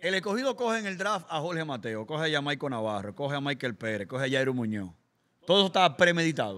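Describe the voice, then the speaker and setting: A man's bright, sharp voice, fairly high in pitch, racing along very fast with very wide pitch swings. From Dominican Republic. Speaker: podcast host; podcast guest or host. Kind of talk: casual chat. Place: studio. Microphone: studio mic.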